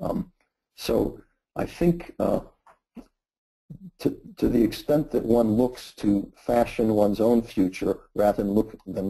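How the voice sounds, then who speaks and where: The delivery comes at a fairly slow pace, broken by long, frequent pauses. Pitch varies in an ordinary way over a dark, mellow tone. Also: man. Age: 60s. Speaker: philosophy professor. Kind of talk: webinar Q&A answer. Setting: online webinar. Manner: halting, many fillers.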